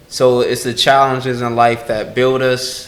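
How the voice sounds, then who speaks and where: Over noticeable background noise and audible room echo, a man speaks at a moderate pace in a medium pitch with monotone, flat intonation. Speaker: guest entrepreneur. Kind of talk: casual interview chat.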